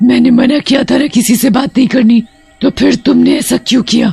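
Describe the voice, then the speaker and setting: With a fairly high pitch, a cartoonish character voice speaks at a moderate pace. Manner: menacing, commanding.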